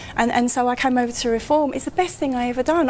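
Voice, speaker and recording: Over noticeable background noise, a woman with a London accent talks at a very fast pace with ordinary pitch variation. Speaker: local party branch secretary. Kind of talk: live broadcast interview. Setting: studio at top of tower. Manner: halting, repeats words.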